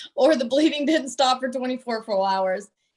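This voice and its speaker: A woman with a Texas accent and ordinary pitch variation. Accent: Southern US (Texas). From US South, Southeast Texas. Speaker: pediatric doctor and researcher. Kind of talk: panel discussion.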